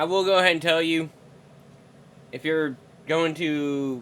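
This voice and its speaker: A man speaks in a Southern US accent. His pace is fairly slow and his intonation fairly even. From Mississippi, US South. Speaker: co-host of reaction video. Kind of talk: casual reaction chat.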